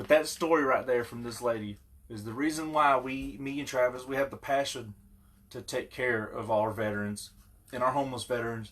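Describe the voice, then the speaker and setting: A man with a plain, everyday voice talks at a fairly quick pace in a medium pitch. His intonation is fairly even, while his loudness swings widely. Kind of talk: casual talk to camera.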